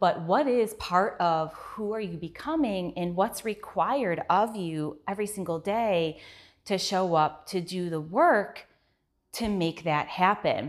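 A woman with a normal speaking voice and medium pitch talks at a fairly slow pace with lively intonation. The recording is very clean, the background silent. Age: 30s. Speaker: podcast host and business owner. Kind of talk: solo podcast monologue. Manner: casual, conversational.

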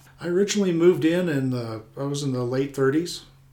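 A man with an American accent speaks at a moderate pace and medium pitch in a dark, mellow tone, with audible room echo. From Colorado. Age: 50s. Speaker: retired air force flyer and local homeowner. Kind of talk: interview.

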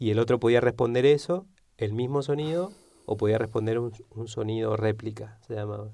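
A man's dark, mellow voice at medium pitch, with ordinary pitch variation and a moderate pace. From Argentina, Neuquén (Patagonia). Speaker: philosopher and game designer. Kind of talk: interview.

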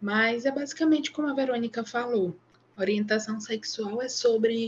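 A woman with a somewhat breathy voice speaks at a fairly slow pace with ordinary pitch variation. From Maranhão, Brazil. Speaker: psychologist. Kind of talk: casual chat.

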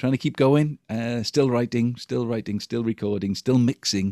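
A man with a Welsh accent speaks in a dark, mellow tone, in a dry, close sound with no echo. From Wales. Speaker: musician. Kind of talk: interview. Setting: video call.

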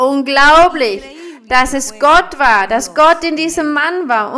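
Amid noticeable background noise, a woman uses a raised, projected voice at a high pitch, with ordinary pitch variation and a fairly slow pace. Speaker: preacher. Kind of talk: sermon. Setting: church with congregation. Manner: fervent, rhythmic preaching with blessing phrases; didactic, explaining scripture verse by verse.

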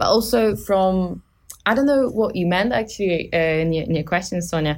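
Speaking with a Polish accent, a woman uses a fairly low pitch and lively intonation while keeping her loudness very even. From Poland. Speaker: student team lead on a renewables project. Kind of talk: casual interview. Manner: halting, many fillers.

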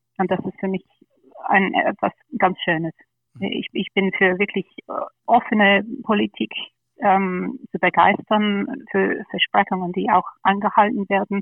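The speech moves at a fairly slow pace with long, frequent pauses. Its intonation stays fairly even. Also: woman, medium pitch for a woman. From England, London. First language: English (speaking German). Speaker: party board candidate. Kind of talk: podcast interview.

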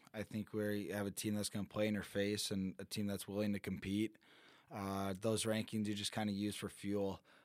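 At a moderate pace, a man with an American accent talks in a fairly low, flat monotone. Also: very clean recording, silent background. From Michigan, US. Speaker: college hockey player. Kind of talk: interview. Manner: halting.

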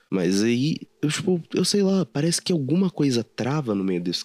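With a Brazilian accent, a man speaks in a dark, mellow tone with very wide pitch swings, sounding dry and close with no echo. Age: 20s. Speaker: podcast host. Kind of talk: solo personal monologue.

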